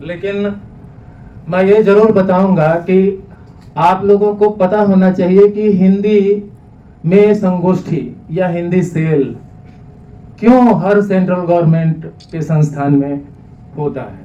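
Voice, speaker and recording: A man with a Bihari accent speaks at a high pitch with ordinary pitch variation, leaving long, frequent pauses. Audible room echo and noticeable background noise fill the recording. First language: Bhojpuri (speaking Hindi). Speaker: speaker on Hindi language. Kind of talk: speech to audience. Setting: hall with small audience. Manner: some hesitations.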